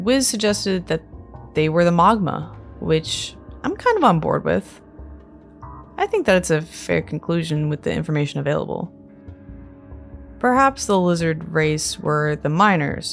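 A woman speaks in a calm, soothing tone with long, frequent pauses. Music sits in the background. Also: moderate pace. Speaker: Zelda lore YouTuber. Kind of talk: sleep-aid lore narration.

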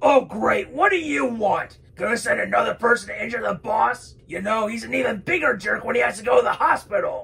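A man puts on a cartoonish character voice, talking at a fairly quick pace with hardly any pauses. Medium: puppet show.

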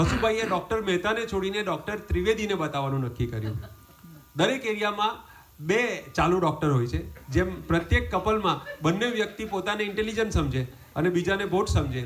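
A man speaks at a high pitch with lively intonation. Light background noise is audible. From India, Surat (Gujarat); Gujarat, India. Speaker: comedian. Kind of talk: stand-up. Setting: home gathering with audience. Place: garden. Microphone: pa.

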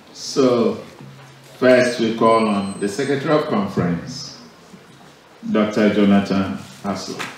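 A man talks at a very slow pace with long, frequent pauses, his medium pitch showing ordinary variation. Strong room echo and light background noise fill the recording. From Ghana. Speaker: bishop. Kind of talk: formal church address. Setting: church service. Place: church. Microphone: podium.

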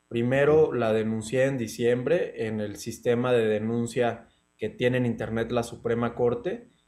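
In a dark, mellow tone, a man talks at a fairly slow pace with fairly even intonation and hardly any pauses. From Mexico. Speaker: law student; interviewee. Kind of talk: interview. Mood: calm, serious. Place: home room. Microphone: video call.

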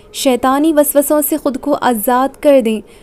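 This woman's voice sits at a high pitch. Her intonation stays fairly even. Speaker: poetry reciter. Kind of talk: inspirational religious quote reading.

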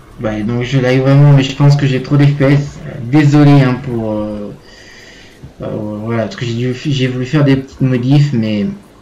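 A man at medium pitch, fairly even intonation, long and frequent pauses, noticeable background noise and audible room echo. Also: fairly slow pace. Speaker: gaming YouTuber. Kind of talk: gameplay commentary. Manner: hesitant, many fillers.

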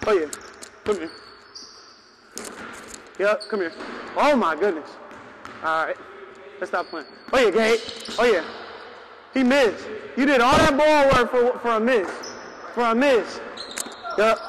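Over light background noise, a man talks at a moderate pace with lively intonation and long, frequent pauses. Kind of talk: playful trash talk during a game. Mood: joking, laughing. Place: hall. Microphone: lapel.

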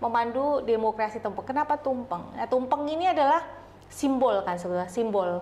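A woman speaks in a plain, everyday voice, fairly high-pitched for a woman. Her pace is fairly quick and her intonation lively. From Solo, Central Java, Indonesia. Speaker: community business association leader. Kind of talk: interview. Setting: studio. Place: studio.

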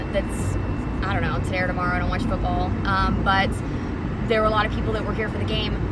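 A woman's voice comes through dry with no echo, over loud background noise. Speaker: club dancer reviewing a workplace. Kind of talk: casual vlog chat. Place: car. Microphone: phone near.

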